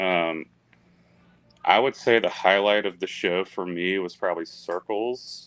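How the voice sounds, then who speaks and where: Slowish and broken by long, frequent pauses, a man talks in a fairly low pitch with fairly even intonation. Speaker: fan guest on podcast. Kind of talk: casual chat. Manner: low energy.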